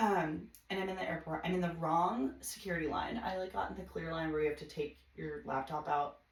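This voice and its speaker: Over noticeable background noise, a woman with an American accent and a fairly low pitch speaks at a fairly quick pace with ordinary pitch variation and hardly any pauses. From US Midwest, Chicago suburbs. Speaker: podcast guest. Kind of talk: casual chat. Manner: animated; fast.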